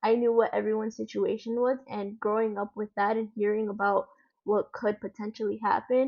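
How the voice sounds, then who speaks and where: A woman with a Spanish accent at a fairly quick pace, her intonation monotone and flat. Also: fairly high pitch for a woman. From United States, Dominican family. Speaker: guest, daughter of immigrants. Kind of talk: interview.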